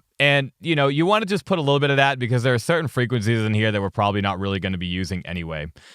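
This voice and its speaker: Over a silent background in a very clean recording, a medium-pitched man talks at a very fast pace with hardly any pauses and very wide pitch swings. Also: dry, close sound with no echo. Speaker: tech tutorial youtuber. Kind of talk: tutorial. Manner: casual.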